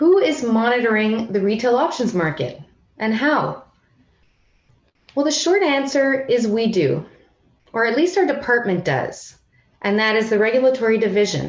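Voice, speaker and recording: Speaking at a moderate pace with long, frequent pauses, a woman with a fairly high pitch makes very wide pitch swings while keeping her loudness very even. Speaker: financial regulator. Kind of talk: conference presentation. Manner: formal.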